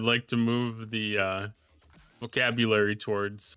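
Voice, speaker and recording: A man at a medium pitch with a bright, sharp tone, dry and close with no echo, in a very clean recording with a silent background. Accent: Minnesotan. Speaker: video game streamer. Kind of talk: casual live stream chat. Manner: halting.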